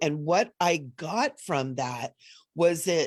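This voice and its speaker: A woman talks with lively intonation. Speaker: spiritual teacher. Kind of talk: live online event talk.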